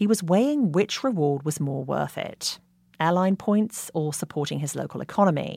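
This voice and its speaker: In a very clean recording with a silent background, a woman with a fairly low pitch talks at a moderate pace with lively intonation in a normal speaking voice. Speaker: podcast host. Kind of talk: scripted narration.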